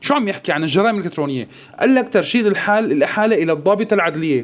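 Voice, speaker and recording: His pitch high and swinging very widely, a man talks in an animated tone. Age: 40s. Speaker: political commentator. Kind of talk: video commentary.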